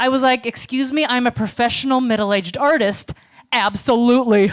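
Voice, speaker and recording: A woman's high voice with an American accent, fairly quick in pace and very even in loudness. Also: ordinary pitch variation. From United States. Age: 40s. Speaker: stand-up comedian. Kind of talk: stand-up. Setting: stage with audience.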